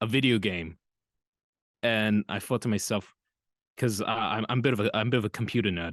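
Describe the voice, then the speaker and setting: A man talks at a fairly quick pace, recorded with a dry, close sound with no echo against a quiet background. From New Zealand, Auckland. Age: 20s. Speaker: voice actor. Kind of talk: casual chat. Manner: halting.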